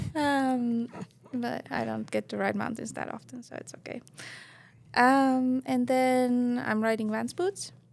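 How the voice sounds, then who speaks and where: A woman with an Estonian accent at a fairly slow pace, with big swings in loudness. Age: 30s. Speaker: professional snowboarder. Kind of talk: casual podcast interview. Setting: studio. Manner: hesitant, many fillers.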